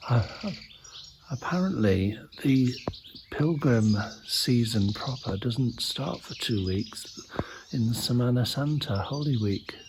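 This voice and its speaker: A man whispers in a relaxed tone at a very slow pace, leaving long, frequent pauses over noticeable background noise. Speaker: travel vlogger on pilgrimage. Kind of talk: walking travelogue vlog. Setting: outdoors walking through village. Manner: relaxed, musing; whispering.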